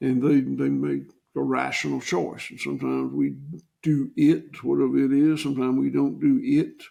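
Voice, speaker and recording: A man speaks with a Southern US accent. He keeps a moderate pace. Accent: Southern US (Georgia). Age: 60s. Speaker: farmer. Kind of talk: interview.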